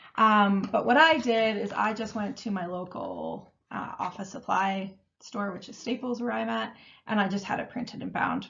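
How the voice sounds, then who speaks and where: Vocal fry marks this woman's speech, delivered at a moderate pace. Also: medium pitch for a woman, ordinary pitch variation. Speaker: meal planning coach. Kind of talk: webinar tutorial. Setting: online webinar.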